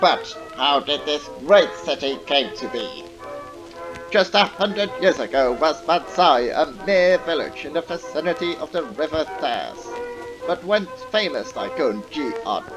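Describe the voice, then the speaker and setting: Music plays in the background while a man speaks fairly slowly. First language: not English. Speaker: video game commentator. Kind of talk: dramatic intro narration.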